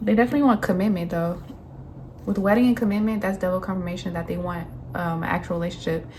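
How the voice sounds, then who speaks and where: Somewhat breathy and very fast, a woman speaks at a medium pitch with ordinary pitch variation. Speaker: tarot reader. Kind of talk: tarot reading monologue. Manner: casual, filler-heavy.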